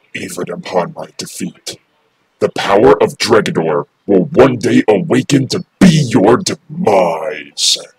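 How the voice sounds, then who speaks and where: The pace stays fairly slow. A put-on character voice is used throughout. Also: man, medium pitch for a man. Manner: menacing.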